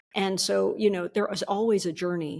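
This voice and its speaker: The speaker is a woman. Her voice is fairly low in pitch. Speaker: psychologist and performance coach. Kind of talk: podcast interview. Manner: fast.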